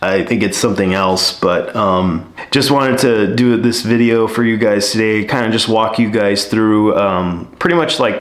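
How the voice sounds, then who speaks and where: There is noticeable background noise and audible room echo as a man speaks in a fairly low voice at a moderate pace with fairly even intonation. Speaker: YouTuber. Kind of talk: casual vlog talk. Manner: halting, many fillers.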